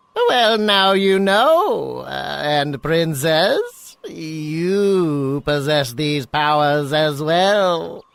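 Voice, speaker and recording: The cartoonish character voice sits at a middle pitch. It moves at a very slow pace. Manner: measured, hesitant with filler.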